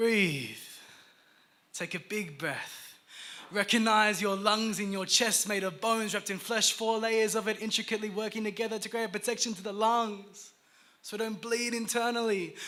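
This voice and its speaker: A raised, projected male voice, high in pitch, with fairly even intonation at a moderate pace. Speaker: spoken word poet. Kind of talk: performance poetry. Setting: live stage.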